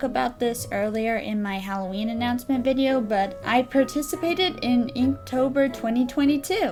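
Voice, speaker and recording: Fairly high woman's voice with lively intonation, music in the background. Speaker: art channel host. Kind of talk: casual talk to camera.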